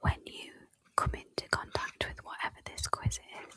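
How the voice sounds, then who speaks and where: A woman is whispering. She goes at a moderate pace. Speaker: podcast host, coach. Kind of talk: whispered ASMR-style podcast conversation. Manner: whispered, soft, relaxing.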